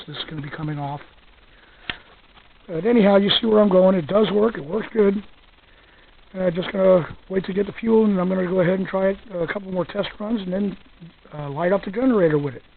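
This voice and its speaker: A soft-spoken man at a high pitch, very fast pace, ordinary pitch variation and long, frequent pauses, over noticeable background noise. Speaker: hobbyist gasifier builder. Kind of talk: casual talk to camera, walkaround tutorial.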